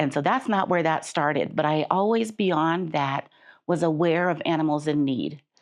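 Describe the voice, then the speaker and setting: A woman's normal speaking voice with an American accent, fairly low in pitch, at a moderate pace with ordinary pitch variation, over a quiet background. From Chicago. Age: 60s. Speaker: patient guest, nonprofit worker. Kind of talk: interview testimony.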